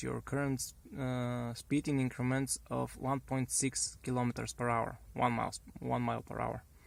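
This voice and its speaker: Recorded very cleanly against a silent background, a man speaks with a Bulgarian accent. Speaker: car hobbyist. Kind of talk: tutorial. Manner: halting, many fillers and restarts.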